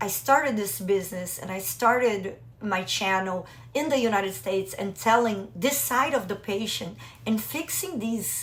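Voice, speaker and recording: With audible room echo, a woman talks fairly slowly in a somewhat breathy, medium-pitched voice with lively intonation. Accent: slight Brazilian. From Brazil. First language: Portuguese. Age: 40s. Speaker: business mentor for doctors and IVF patient. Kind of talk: personal vlog talk to camera.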